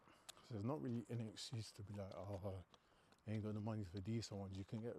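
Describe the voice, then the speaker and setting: This man, with a London accent, speaks quietly in a fairly low pitch with a dark, mellow tone. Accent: London multicultural English. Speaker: fitness livestreamer. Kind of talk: casual chat. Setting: gym. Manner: quiet but carrying.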